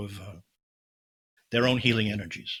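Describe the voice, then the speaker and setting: Fairly quick delivery comes in a bright, sharp tone with fairly even intonation. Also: man. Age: 70s. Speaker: healing practitioner, author. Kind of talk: interview. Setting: podcast interview.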